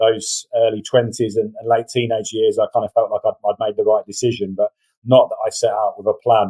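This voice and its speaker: Someone with an English accent speaks at a fairly quick pace. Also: man. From England, Northampton. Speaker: referee organisation communications director. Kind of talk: interview. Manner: repeats words, hesitant.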